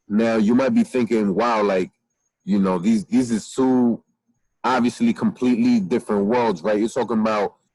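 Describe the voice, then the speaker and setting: At a moderate pace, a man speaks at medium pitch, the sound dry and close with no echo. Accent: American. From New York (Queens), later Jersey City. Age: 20s. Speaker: criminal justice professor and rapper. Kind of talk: recorded conference presentation. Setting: outdoors. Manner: casual, filler-heavy.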